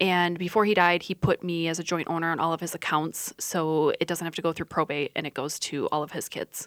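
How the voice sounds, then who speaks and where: A woman with an American accent at a fairly low pitch, fairly quick and with hardly any pauses, in a monotone, flat intonation on a very clean, dry, close recording with a silent background and no echo. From Iowa. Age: 30s. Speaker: lawyer. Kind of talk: radio interview.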